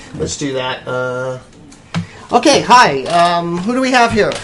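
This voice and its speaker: Music in the background behind a man's fairly high voice with very wide pitch swings. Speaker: travel podcast host. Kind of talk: interview host taking live callers.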